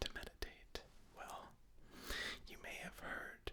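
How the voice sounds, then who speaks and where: A man whispers, keeping to a fairly slow pace. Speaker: ASMR artist. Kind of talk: ASMR meditation tutorial. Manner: whispered; slow, soft-spoken, calm.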